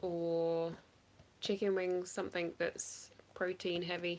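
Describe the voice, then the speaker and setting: With an English accent, a woman speaks at a very slow pace over light background noise. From England. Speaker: online reseller; live stream reseller. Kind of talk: casual livestream chat. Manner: casual, hesitant with fillers. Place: home room. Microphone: phone near.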